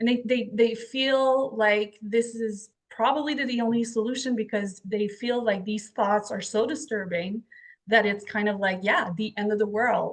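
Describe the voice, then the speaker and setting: A French Canadian accent at a moderate pace, with fairly even intonation. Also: woman, fairly high pitch for a woman. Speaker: podcast host and author. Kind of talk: interview conversation. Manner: halting.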